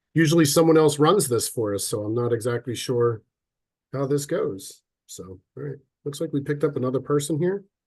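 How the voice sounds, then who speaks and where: A man with a fairly high pitch talks at a fairly quick pace. His voice is somewhat breathy, and the background is quiet. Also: ordinary pitch variation. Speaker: sales and marketing executive. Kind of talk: webinar presentation.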